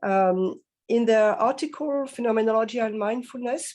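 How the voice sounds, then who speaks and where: A woman speaks in a French accent at a fairly high pitch with ordinary variation. Her tone is dark and mellow. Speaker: philosophy professor. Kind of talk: academic lecture. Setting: video call to conference. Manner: hesitant, many fillers; slow.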